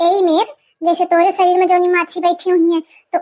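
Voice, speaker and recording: An extremely high-pitched cartoonish character voice from a woman at a fairly quick pace. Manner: rambling, folksy, stubborn.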